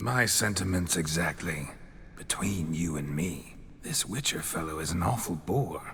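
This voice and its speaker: Using a put-on character voice, a man speaks at a moderate pace in a very deep, low pitch over clear background noise. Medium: machinima. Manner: florid, gallant, flirtatious.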